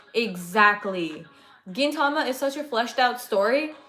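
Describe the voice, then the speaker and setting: Over music in the background, a woman with a high pitch speaks in lively intonation. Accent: American. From California. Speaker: anime livestreamer. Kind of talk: casual chat. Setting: livestream.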